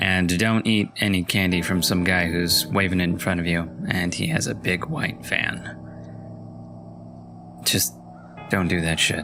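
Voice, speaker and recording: Music plays in the background as a man with a very deep, low pitch speaks at a fairly slow pace, with long, frequent pauses, ordinary pitch variation and very even loudness. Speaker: voice-over narrator. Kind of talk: casual talk to camera.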